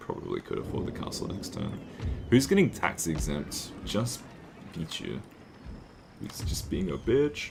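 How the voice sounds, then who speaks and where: Long, frequent pauses break up a man's fairly slow speech, heard against noticeable background noise. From Australia, Northern Territory. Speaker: vtuber streamer. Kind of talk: live gameplay stream chat. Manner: animated.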